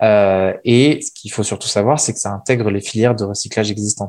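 Against a silent background in a very clean recording, a man of fairly low pitch speaks at a moderate pace. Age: 20s. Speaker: furniture designer and entrepreneur. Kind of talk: interview. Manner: hesitant, many fillers and repetitions.

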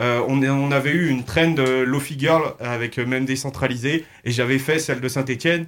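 A man speaks in a normal speaking voice, medium in pitch, with fairly even intonation and moderate speed. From Loire, France. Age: 20s. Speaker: social media meme creator. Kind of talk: radio interview.

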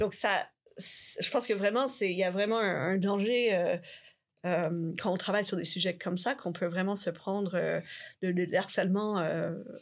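A woman at medium pitch and moderate pace, with fairly even intonation and very even loudness, in a very clean recording with a silent background. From Canada. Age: young. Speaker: linguistics researcher. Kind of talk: interview. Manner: halting, many repetitions.

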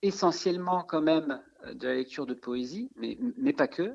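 A man talks at a fairly slow pace. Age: 40s. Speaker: amateur writer in a writing workshop. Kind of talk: interview. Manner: halting, many repetitions and fillers.

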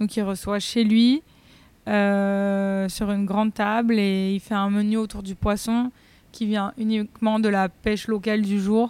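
A woman speaks in a monotone with flat intonation. The recording is very clean, with a silent background. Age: 20s. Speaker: vegetarian restaurant chef and founder. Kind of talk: casual interview chat. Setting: in her restaurant.

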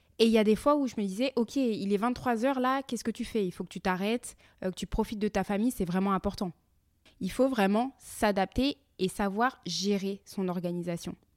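In a very clean recording with a silent background and a dry, close sound with no echo, a woman with an unremarkable speaking voice talks at a medium pitch and a moderate pace with ordinary pitch variation. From France. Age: 30s. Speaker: podcaster and entrepreneur. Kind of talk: personal monologue podcast.

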